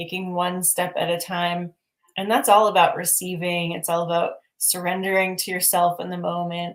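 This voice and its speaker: Her voice, a woman's at a fairly low pitch, keeps a monotone, flat intonation. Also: moderate pace. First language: not English. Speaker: spiritual teacher. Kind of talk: livestream conversation. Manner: casual, hesitant with fillers.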